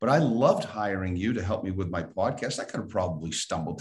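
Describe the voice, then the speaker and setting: With audible room echo, a man talks at a very fast pace in a very deep, low pitch, his voice somewhat breathy. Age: 60s. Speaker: podcast host and financial coach. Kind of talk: casual interview chat.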